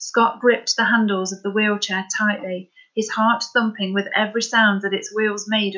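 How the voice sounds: The speaker has a natural reading voice with fairly even intonation, set against a quiet background.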